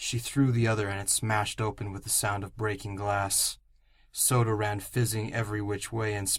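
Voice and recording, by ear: A natural voice reading text aloud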